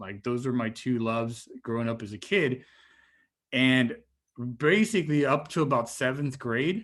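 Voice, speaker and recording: Speech comes at a fairly slow pace with a Spanish accent and ordinary pitch variation. The recording is very clean, with a silent background. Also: man. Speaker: marine biologist, guest speaker. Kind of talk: talk to students. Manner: casual, with repeated fillers.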